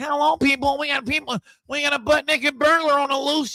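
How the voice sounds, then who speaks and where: A man puts on a nasal character voice at an extremely high pitch, talking at a fairly quick pace. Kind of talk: broadcast news delivery. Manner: exaggerated, mocking.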